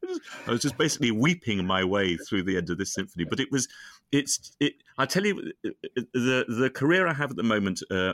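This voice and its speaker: With a British accent, this voice swings very widely in pitch, heard dry and close with no echo on a very clean recording over a silent background. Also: man. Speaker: singer and composer. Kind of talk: casual chat.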